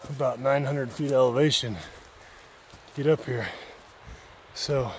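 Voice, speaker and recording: Male speech, dry and echo-free, against noticeable background noise. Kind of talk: casual vlog chat. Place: forest. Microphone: phone near.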